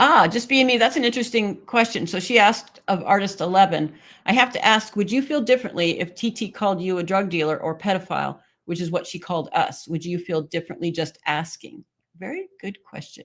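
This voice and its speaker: A woman's ordinary speaking voice at a medium pitch, with lively intonation and a fairly quick pace. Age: 60s. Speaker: live stream host reading chat. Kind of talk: casual chat reading viewer comments.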